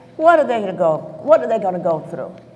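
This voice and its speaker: A woman talks over noticeable background noise. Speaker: civil rights marcher. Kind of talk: panel discussion.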